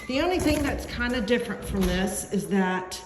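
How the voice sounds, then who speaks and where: A woman at a fairly slow pace, with audible room echo and music in the background. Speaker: real estate agent. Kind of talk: guided home tour video. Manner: hesitant with fillers.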